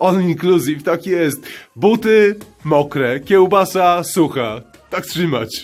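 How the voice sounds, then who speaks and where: With music in the background, a man speaks at a very slow pace and a fairly high pitch. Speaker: hiking trip narrator and camera operator. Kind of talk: casual vlog commentary while hiking. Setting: outdoors. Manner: uneven, alternately overexcited and subdued.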